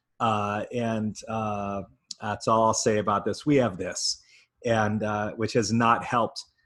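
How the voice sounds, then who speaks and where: In an Upper Midwest accent, a man speaks with a fairly low pitch and monotone, flat intonation. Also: fairly slow pace. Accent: Upper Midwest American. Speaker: nonprofit leadership advisor. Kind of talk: online conference talk. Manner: frequent filler words.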